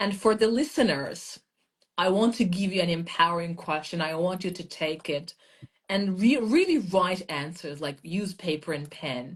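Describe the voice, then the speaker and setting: Somewhat breathy and fairly low in pitch, a woman talks at a moderate pace with lively intonation. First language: non-English; English is third language. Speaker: mindset and language coach. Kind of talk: casual live chat. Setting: live video stream.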